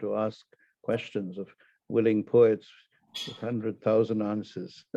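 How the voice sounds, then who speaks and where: At a fairly slow pace, a man speaks with medium pitch and monotone, flat intonation. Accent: Tamil. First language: Tamil. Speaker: poet. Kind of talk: casual chat; poetry reading.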